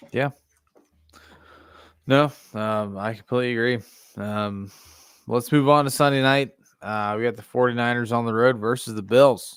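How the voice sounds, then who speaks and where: Speaking with a Pittsburgh accent, a man with a medium pitch goes at a moderate pace with fairly even intonation and long, frequent pauses, on a very clean recording with a silent background. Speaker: sports podcast host. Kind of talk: casual sports chat.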